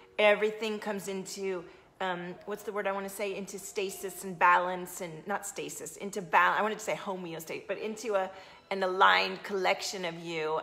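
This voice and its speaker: A woman's monotone, flat voice at a fairly quick pace. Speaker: coach streaming to an audience. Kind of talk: casual live-stream talk. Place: home room.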